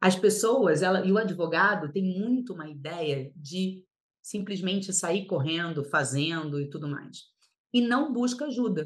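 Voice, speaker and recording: A woman's somewhat breathy voice, lively in intonation, at a fairly slow pace. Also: medium pitch for a woman. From Paraná, Brazil (born in Rio de Janeiro). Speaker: lawyer and mentor. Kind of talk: podcast interview.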